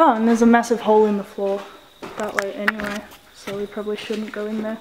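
Over noticeable background noise, a woman talks in a monotone with flat intonation. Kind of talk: casual vlog chat. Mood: cautious, joking nervously. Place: empty room. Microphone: phone near.

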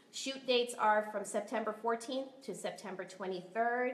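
A woman's fairly high voice, fairly even in intonation, at a moderate pace with audible room echo. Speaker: production crew member presenting casting news. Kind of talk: casting announcements, casual. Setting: studio, live-streamed. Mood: upbeat, friendly. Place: home room. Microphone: webcam.

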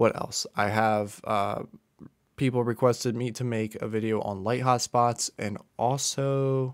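Fairly even intonation from a male speaker, quiet background. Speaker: college student YouTuber. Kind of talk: casual vlog chat. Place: home room. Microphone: studio mic.

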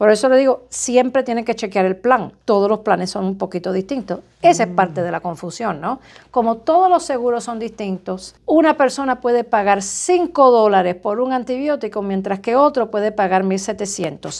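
A woman with a plain, everyday voice talks at a moderate pace with hardly any pauses. Her fairly high pitch moves with lively intonation. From Cuba. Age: 50s. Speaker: surgeon; interview guest. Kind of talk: interview. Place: office.

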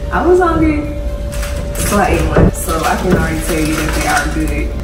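A woman at a fairly quick pace, with audible room echo and music in the background. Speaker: vlogger. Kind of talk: casual vlog chat, snack taste test. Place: home room. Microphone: phone near.

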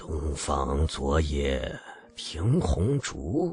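A man's put-on character voice, raspy and very deep and low, with ordinary pitch variation. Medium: read story. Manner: rustic, plain-spoken.

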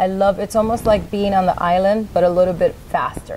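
A woman talks at a moderate pace. Light background noise is present. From New York. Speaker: nonprofit founder. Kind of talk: interview. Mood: warm, earnest. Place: studio.

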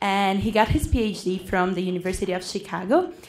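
A woman speaks with a Portuguese accent at a moderate pace. Her intonation is fairly even. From Brazil. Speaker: student moderator. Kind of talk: speaker introduction. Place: hall. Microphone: podium.

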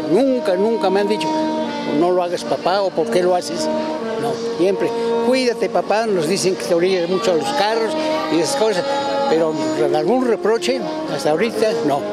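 Over loud music in the background, a man talks with long, frequent pauses. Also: moderate pace. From Puebla, Mexico. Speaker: activist and army veteran. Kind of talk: interview answer. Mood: earnest, cheerful, reflective. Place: street. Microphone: handheld.

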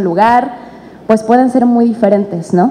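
The woman keeps to a moderate pace as she talks. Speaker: actress presenting a play. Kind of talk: press conference statement. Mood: warm, grateful. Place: hall. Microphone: podium.

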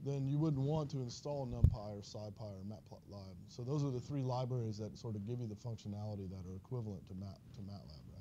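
A man talks at a very fast pace, somewhat breathy, with ordinary pitch variation. Light background noise sits behind him. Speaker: university instructor. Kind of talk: lecture. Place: classroom.

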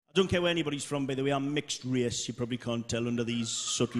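A man speaks with a Geordie accent. Loud background noise runs behind him. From Newcastle, North East England. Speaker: stand-up comedian. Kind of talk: live stand-up comedy set. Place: stage. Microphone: handheld.

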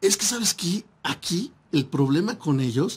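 With lively intonation, a man speaks in a high voice. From Mexico. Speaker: internet radio host. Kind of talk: casual radio talk show. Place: studio. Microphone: studio mic.

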